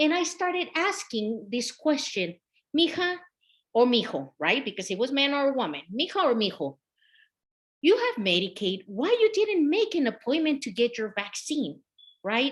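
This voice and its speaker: A woman with a Mexican accent talks at a moderate pace in a high voice with very wide pitch swings. The recording is very clean, with a silent background. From Mexico, Michoacan. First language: Spanish. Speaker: health equity consultant. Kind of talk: presentation.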